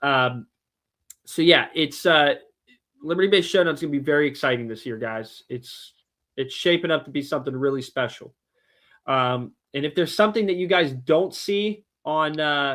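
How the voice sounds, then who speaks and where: Recorded very cleanly against a silent background, a man speaks at a moderate pace with a fairly high pitch and ordinary pitch variation. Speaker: car audio shop owner and event organizer. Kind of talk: livestream casual chat. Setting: livestream with co-hosts. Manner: animated.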